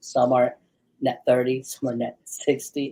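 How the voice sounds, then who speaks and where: A man at a moderate pace and a fairly high pitch. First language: not English. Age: 40s. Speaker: business owner. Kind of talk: casual chat. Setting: live stream.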